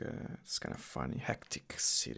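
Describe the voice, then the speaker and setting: A man is speaking. He has an Italian accent. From Italy. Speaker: coding YouTuber. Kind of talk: live stream tutorial with Q&A. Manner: casual, hesitant with fillers.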